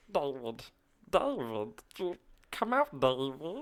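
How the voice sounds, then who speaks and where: A put-on character voice at a low-to-middle pitch and a very slow pace. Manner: pleading, calling at the door.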